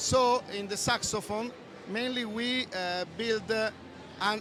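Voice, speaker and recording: Someone speaks at a fairly slow pace in an Italian accent. Noticeable background noise is present. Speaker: audio software developer. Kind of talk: product presentation. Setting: trade show booth. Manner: halting.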